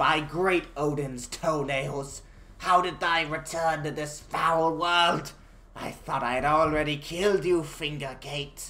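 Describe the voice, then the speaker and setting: A put-on character voice at a middle pitch moves at a fairly slow pace over light background noise. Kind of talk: archaic, thee-and-thy. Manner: bombastic, mock-heroic.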